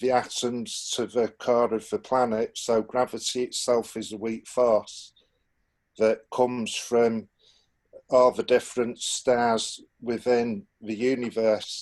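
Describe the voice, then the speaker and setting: In a Manchester accent, a man speaks at a medium pitch, very slowly and in a monotone, flat way, over a quiet background. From northern England, Manchester. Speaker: alternative propulsion researcher. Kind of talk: technical explanation on group call. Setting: Zoom video call. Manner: halting, many fillers.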